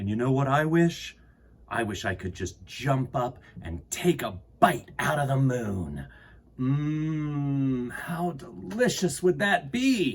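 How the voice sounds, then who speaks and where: A man's put-on character voice at medium pitch and a fairly slow pace. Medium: read story.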